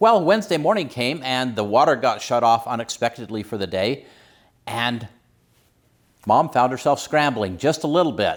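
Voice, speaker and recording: A man with a plain, everyday voice speaks at a moderate pace and medium pitch, his intonation lively, on a very clean recording with a silent background. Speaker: emergency preparedness channel host. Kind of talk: casual talk to camera.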